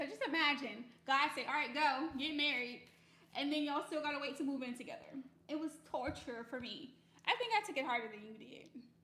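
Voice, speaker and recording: A woman with a bright, sharp tone and high pitch speaks at a fairly quick pace, with ordinary pitch variation. Her loudness swings widely, and audible room echo is present. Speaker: married couple podcast co-host. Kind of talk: casual live stream chat. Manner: soft-spoken.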